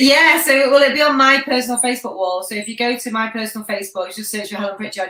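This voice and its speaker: Speech comes at a very fast pace with ordinary pitch variation. Noticeable background noise is present. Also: woman. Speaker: webinar presenter answering audience questions. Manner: fast talker.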